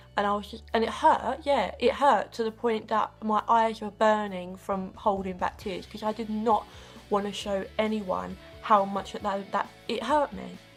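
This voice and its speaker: A British accent at a moderate pace, fairly even intonation, big swings in loudness, and music in the background. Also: woman, fairly high pitch for a woman. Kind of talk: casual talk to camera.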